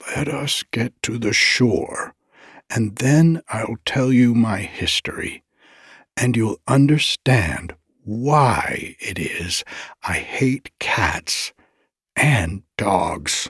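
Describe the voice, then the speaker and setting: Put-on character voice from a man, medium-pitched and shaky, at a very slow pace. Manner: passionate, wounded.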